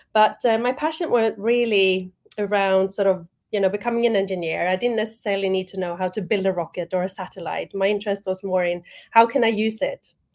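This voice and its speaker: Against a quiet background, a woman talks very fast at a medium pitch with fairly even intonation. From Sweden. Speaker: spaceport executive. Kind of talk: panel discussion.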